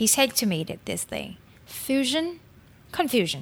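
The speaker has a Vietnamese accent, and the recording is very clean with a silent background. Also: woman. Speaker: food and beverage consultant. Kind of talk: podcast interview.

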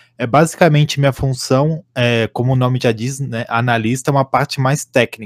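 With hardly any pauses, a man of medium pitch talks at a moderate pace in a very clean recording with a silent background and a dry, close sound with no echo. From Santa Catarina, Brazil. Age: 20s. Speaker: esports analyst and coach. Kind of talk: podcast interview. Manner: halting.

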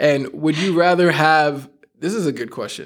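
With an American accent, a man has a normal speaking voice at a fairly high pitch. He keeps a moderate pace and fairly even intonation on a very clean recording with a silent background. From New York. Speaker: podcast host and youth leader. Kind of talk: casual interview chat.

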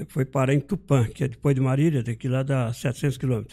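This very clean recording, with a silent background, has a man speaking in a dark, mellow tone at a medium pitch and a moderate pace. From Brazil, Minas Gerais, raised in São Paulo state. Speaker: guitar maker and musician. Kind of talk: casual interview.

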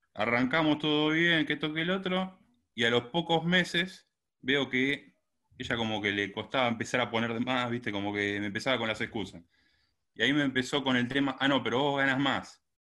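Using a normal speaking voice, a man talks at a medium pitch and a moderate pace, his pitch variation ordinary. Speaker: caller. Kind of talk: casual conversation.

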